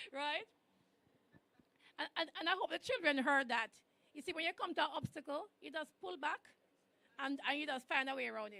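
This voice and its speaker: Raising and projecting her high voice, a woman speaks with a bright, sharp tone, lively intonation, big swings in loudness and long, frequent pauses. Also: fairly quick pace. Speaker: government official speaker. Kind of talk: ceremonial speech.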